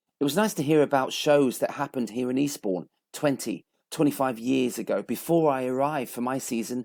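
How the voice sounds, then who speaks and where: In a normal speaking voice, a man talks at a fairly quick pace and medium pitch, the sound dry and close with no echo. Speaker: podcast host. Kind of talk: podcast introduction.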